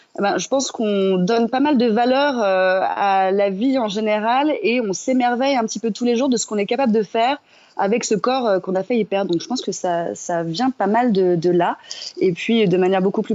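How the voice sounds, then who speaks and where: A woman talks at a fairly high pitch with ordinary pitch variation and very even loudness. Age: 30s. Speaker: entrepreneur and yoga teacher. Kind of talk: podcast interview. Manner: many hesitations (euh).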